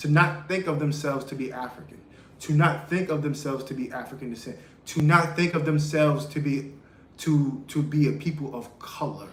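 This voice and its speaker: Fairly high in pitch, a man with an American accent talks at a fairly quick pace. Audible room echo surrounds his voice. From United States. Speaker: podcast host. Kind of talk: live-stream monologue. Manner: halting, repeats words.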